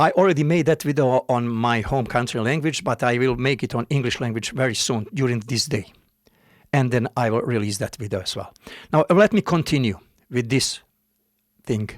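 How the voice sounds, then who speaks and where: On a very clean recording with a silent background, a man with a Bosnian accent talks at a moderate pace at a medium pitch with ordinary pitch variation. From Bosnia, Modrica (north Bosnia). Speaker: music keyboard demonstrator. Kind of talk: tutorial. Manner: halting, with many fillers.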